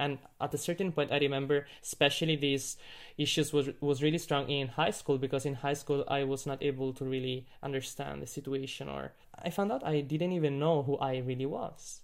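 A man talks at a fairly quick pace with an Italian accent. His pitch sits fairly high. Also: fairly even intonation. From Vicenza, Italy. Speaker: classical pianist. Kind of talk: casual interview.

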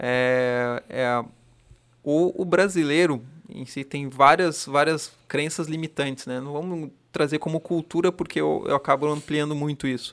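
A man speaks at a fairly slow pace in a plain, everyday voice, his pitch fairly high and his intonation fairly even, on a very clean recording with a silent background. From Santa Catarina highlands (Lages), family from Rio Grande do Sul. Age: 30s. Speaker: firefighter aircrew member and café owner. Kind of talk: casual chat.

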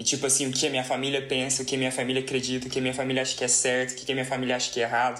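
Noticeable background noise under a man speaking at a medium pitch. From Brazil, Uberlândia, Minas Gerais. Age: 20s. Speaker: master's student, podcast co-host. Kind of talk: casual chat.

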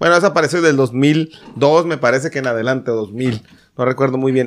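This man has an ordinary speaking voice with a fairly high pitch. His pitch varies in an ordinary way, and his pace is moderate. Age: 30s. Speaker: podcast panelist. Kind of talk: casual chat.

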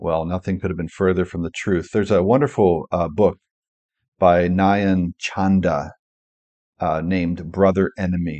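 This man's voice is very deep and low, with a Pennsylvania accent. His intonation stays fairly even. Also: moderate pace. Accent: American, Pennsylvania. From rural Pennsylvania, US. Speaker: podcast host and author. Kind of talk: solo podcast monologue. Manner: occasional hesitations and repetitions.

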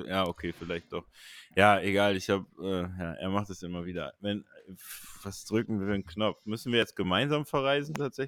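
On a very clean recording with a silent background and a dry, close sound with no echo, a man talks at a fairly quick pace in a plain, everyday voice, fairly low in pitch with ordinary pitch variation. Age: 30s. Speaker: artist and streaming show co-host. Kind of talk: casual chat.

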